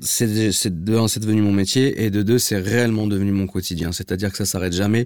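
A man talks at a fairly quick pace with hardly any pauses, his pitch fairly low and his intonation fairly even. It is a plain, everyday voice. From Paris, 16th arrondissement. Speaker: car enthusiast influencer. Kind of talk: casual chat.

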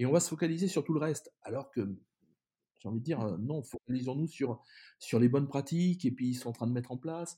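A man with a fairly high pitch speaks in a dark, mellow, somewhat breathy tone. He moves at a fairly quick pace with ordinary pitch variation. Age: 50s. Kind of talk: interview. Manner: halting, many repetitions.

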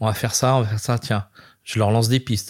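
The voice is somewhat breathy, on a very clean recording with a silent background. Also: man. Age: 50s. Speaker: chef and restaurant owner. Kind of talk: casual interview. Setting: restaurant. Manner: animated.

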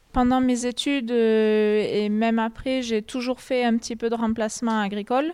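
Hardly pausing, a dark, mellow voice speaks in a flat monotone over a silent background in a very clean recording. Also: woman, fairly high pitch for a woman, moderate pace. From southwestern France, Lot (Bouriane). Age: 20s. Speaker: farm worker. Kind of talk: interview. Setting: on a farm, tobacco barn. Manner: hesitant, many fillers.

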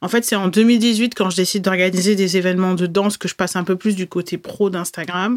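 An unremarkable speaking voice moves at a fairly quick pace with hardly any pauses and fairly even intonation, on a very clean recording with a silent background. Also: woman, medium pitch for a woman. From France, Bordeaux. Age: 30s. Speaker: podcast host, Instagram coach. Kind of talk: solo podcast monologue.

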